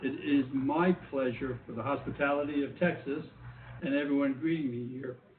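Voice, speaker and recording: This man talks at a moderate pace. He has a New York accent. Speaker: government official. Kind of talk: keynote speech.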